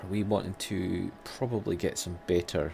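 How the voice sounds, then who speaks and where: Speaking with a Scottish accent, a man shows vocal fry and ordinary pitch variation. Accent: Scottish, rolled R's. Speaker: gaming YouTuber. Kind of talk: let's play commentary. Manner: casual, conversational.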